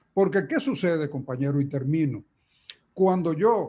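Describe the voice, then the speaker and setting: A man's fairly high-pitched voice with a dark, mellow tone, lively intonation and a fairly slow pace. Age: 80s+. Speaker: trade union leader. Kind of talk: conference talk. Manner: halting.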